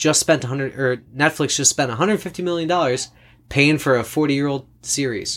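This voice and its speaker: A man with a normal speaking voice talks fairly slowly at a fairly high pitch with ordinary pitch variation, on a very clean recording with a silent background. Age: 30s. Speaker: podcast host and ninth grade English teacher. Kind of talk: casual chat.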